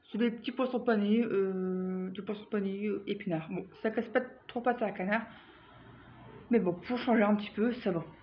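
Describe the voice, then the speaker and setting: A woman talks at a moderate pace and medium pitch, pausing often and at length. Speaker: vlogger. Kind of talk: casual product review vlog. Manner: animated.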